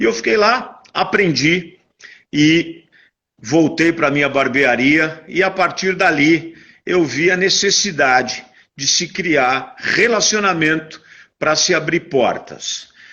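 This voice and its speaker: Speaking very slowly, a man uses lively intonation. His pitch is fairly high. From Brazil, São Paulo. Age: 60s. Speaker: interview guest, networking speaker. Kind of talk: interview, life story. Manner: halting, many fillers and repetitions.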